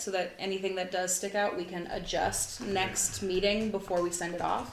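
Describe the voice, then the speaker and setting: At a moderate pace, a woman speaks through noticeable background noise and audible room echo. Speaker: commission chair. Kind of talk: committee meeting. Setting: meeting room, streamed live.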